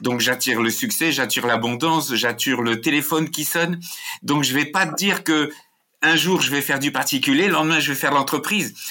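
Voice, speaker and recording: A man talks at a fairly quick pace and a fairly high pitch. His tone is bright and sharp, with ordinary pitch variation. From France. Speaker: emotional intelligence expert and author. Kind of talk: interview conversation.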